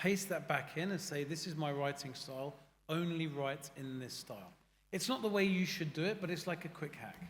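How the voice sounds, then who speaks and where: There is audible room echo as a man with a British accent speaks at a moderate pace with ordinary pitch variation. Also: fairly high pitch for a man. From UK. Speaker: AI consulting founder. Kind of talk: panel discussion. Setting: stage with audience. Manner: animated.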